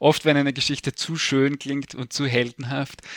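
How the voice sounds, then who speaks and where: Man at a medium pitch, very clean recording with a silent background and a dry, close sound with no echo. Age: 50s. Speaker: historian. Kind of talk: interview. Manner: hesitant with many fillers.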